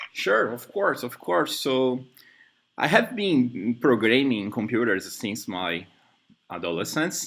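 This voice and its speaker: A man with a Brazilian Portuguese accent talks at medium pitch and a very slow pace. His pitch swings very widely. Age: 30s. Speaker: software developer. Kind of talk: job interview. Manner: halting.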